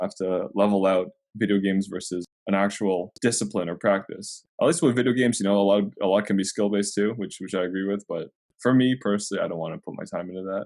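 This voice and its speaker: At a very fast pace, a man talks with fairly low pitch and fairly even intonation. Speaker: podcast guest, gamer and streamer. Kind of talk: casual chat. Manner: monotone; halting, repeats words.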